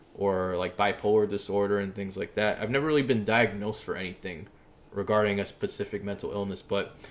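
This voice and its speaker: A man with an American accent and a fairly low pitch talks at a fairly quick pace. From New York City, East Harlem. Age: 20s. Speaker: streamer. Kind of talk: casual livestream chat. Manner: casual, conversational.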